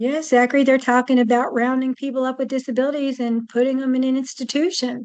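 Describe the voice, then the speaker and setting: Very fast and with hardly any pauses, a woman speaks in a high-pitched, flat monotone. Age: 60s. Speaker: guest on activism podcast. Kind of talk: casual conversation.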